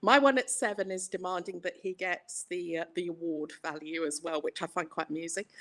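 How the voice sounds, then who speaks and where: Someone with an English accent talks at a fairly quick pace with hardly any pauses. The intonation is lively, and the sound is dry and close with no echo. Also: woman, fairly low pitch for a woman. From England. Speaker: yarn dyer and market stallholder. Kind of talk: casual chat showing products on a live stream.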